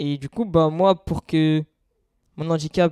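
On a very clean recording with a silent background and a dry, close sound with no echo, a man speaks at a moderate pace and fairly high pitch in a dark, mellow tone with fairly even intonation. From France, Seine-et-Marne. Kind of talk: testimony.

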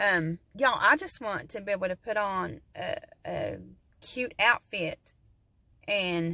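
A woman with an Appalachian accent, in a dry sound with no echo and a quiet background. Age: 40s. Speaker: vlogger. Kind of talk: casual vlog monologue. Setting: in a parked truck. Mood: candid, chatty. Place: car. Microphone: phone near.

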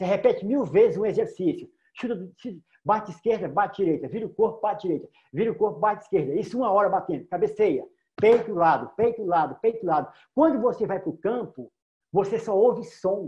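Against a quiet background, a man speaks at a fairly quick pace with a high pitch and lively intonation. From Federal District, Brazil. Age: 50s. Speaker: filmmaker; guest. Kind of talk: panel discussion. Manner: casual, repetitive stammering. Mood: passionate, proud. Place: home room. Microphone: video call.

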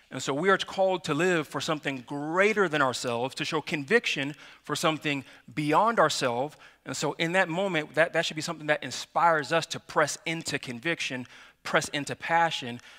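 A man talks in a bright, sharp tone, and the background is quiet. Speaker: pastor. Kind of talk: sermon. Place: church.

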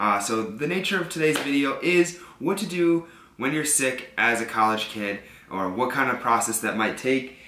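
Audible room echo and light background noise around a man's voice. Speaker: college student vlogger. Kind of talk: casual vlog chat. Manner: congested, sick-sounding voice. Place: home room.

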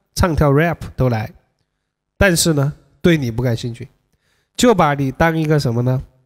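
Against a quiet background, a man speaks fairly slowly at a fairly high pitch with ordinary pitch variation. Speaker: dating coach livestreamer. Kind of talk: livestream commentary. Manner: animated. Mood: joking, casual. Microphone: studio mic.

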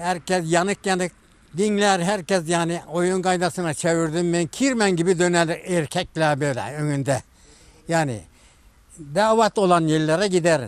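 A man's high-pitched voice at a fairly slow pace, with ordinary pitch variation. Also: dry sound with no echo. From Turkey, Denizli (Çameli). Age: 80s+. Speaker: kaval and sipsi player, instrument maker. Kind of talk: interview answer. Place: garden.

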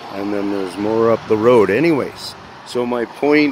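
Over noticeable background noise, a man speaks very slowly with lively intonation in a dry recording with no echo. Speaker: conspiracy video maker; amateur vlogger. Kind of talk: walking vlog monologue. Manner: loud. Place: street. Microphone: phone near.

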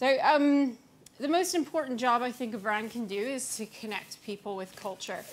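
A woman speaks with an American accent at a high pitch. Her pace is moderate. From US-Canada border region. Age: young. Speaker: brand strategist; conference speaker. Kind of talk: conference talk. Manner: hesitant, many fillers. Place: hall. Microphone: podium.

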